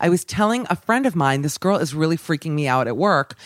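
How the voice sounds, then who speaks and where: A woman with an American accent speaks fairly quickly at a fairly low pitch. She has a normal speaking voice, and the sound is dry and close with no echo. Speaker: radio host. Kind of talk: casual chat.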